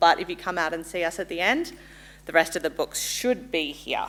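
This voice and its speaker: A woman with an Australian accent talks at a very fast pace. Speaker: insurance company representative. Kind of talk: sales pitch. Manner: loud; casual, friendly.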